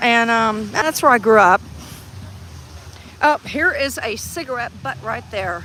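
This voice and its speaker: Speaking in an American accent, a woman talks at a fairly slow pace with long, frequent pauses, lively intonation, vocal fry and a bright, sharp tone. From Texas. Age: 60s. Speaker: activist livestreamer. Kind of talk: casual chat. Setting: outdoors. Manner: halting.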